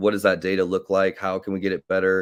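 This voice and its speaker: Against a quiet background, a man with an American accent and a very deep, low pitch talks at a fairly quick pace in a monotone, flat intonation, the sound dry and close with no echo. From US Midwest, Kansas City. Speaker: e-commerce agency owner. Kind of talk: podcast interview. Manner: hesitant, many fillers.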